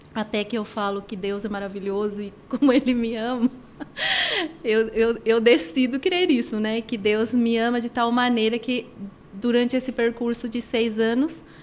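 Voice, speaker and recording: A woman talks at a moderate pace with a fairly high pitch. Noticeable background noise sits behind her. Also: ordinary pitch variation. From Argentina. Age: 50s. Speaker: women's personal development coach. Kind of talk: podcast interview, personal testimony.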